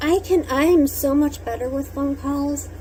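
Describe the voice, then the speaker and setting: A woman mumbles at a very slow pace. Noticeable background noise runs underneath. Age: adult. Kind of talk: personal monologue. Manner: mumbling.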